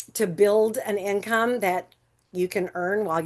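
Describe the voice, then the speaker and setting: A woman with a plain, everyday voice and medium pitch speaks at a fairly slow pace against a quiet background. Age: 60s. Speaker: entrepreneur, sales presenter. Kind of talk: sales pitch. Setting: group call. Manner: conversational with fillers.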